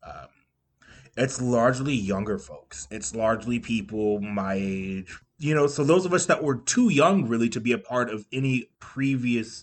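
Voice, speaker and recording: At a moderate pace, a man speaks in a normal speaking voice with medium pitch and ordinary pitch variation. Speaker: podcast co-host. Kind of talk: casual chat.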